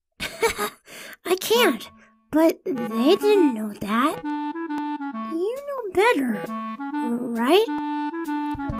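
Put on as a character voice, the delivery crawls at a very slow pace with long, frequent pauses while faint music plays in the background. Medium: dub.

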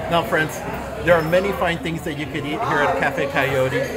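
Fairly quick speech with ordinary pitch variation against crowd noise in the background. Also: man. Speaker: food vlog host. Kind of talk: casual vlog chat. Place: cafe. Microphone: phone near.

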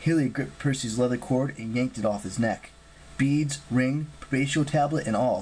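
The voice reads naturally. Pitch moves up and down in an ordinary way.

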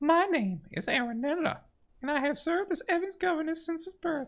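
A man puts on a character voice at an extremely high pitch. He talks at a fairly quick pace. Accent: Southern. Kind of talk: formal, dutiful.

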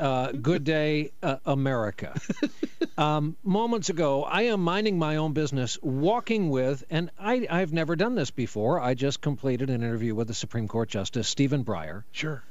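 There is no echo in this dry recording of a man speaking at a moderate pace, his pitch swinging very widely. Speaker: TV news guest. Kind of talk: interview answer, storytelling. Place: studio. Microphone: studio mic.

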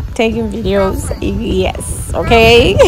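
Very slowly, a woman speaks over noticeable background noise. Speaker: family vlogger. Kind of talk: casual vlog chat. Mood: relaxed, happy. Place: boat. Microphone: phone near.

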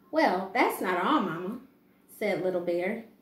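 This is a woman speaking. Room echo is audible around her. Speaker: preschool teacher. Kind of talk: children's picture book read-aloud. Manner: calm, gentle. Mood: calm, gentle. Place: home room. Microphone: camera far.

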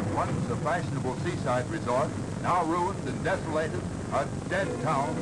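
Loud background noise runs throughout. The speaking pace is moderate. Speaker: newsreel narrator. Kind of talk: wartime newsreel narration. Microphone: old recording.

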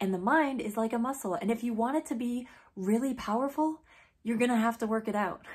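A woman with a somewhat breathy voice speaks at a moderate pace against a quiet background. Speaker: teacher-like speaker addressing students. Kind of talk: motivational speech to camera. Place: home room. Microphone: phone near.

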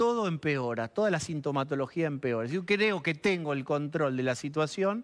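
Against a quiet background, a man with a Rioplatense accent speaks at a moderate pace with hardly any pauses, in a fairly high pitch with lively intonation. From Argentina. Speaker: TV journalist; guest. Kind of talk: TV interview. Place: studio.

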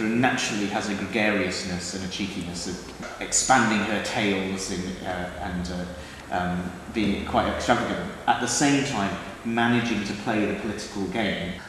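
Moderate pace, strong room echo and light background noise. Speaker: theatre director. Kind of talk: interview talk. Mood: warm and amused. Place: empty room.

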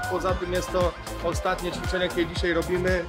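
With clear music in the background, a man is talking. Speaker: fitness trainer. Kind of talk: casual vlog chat. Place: gym. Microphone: phone near.

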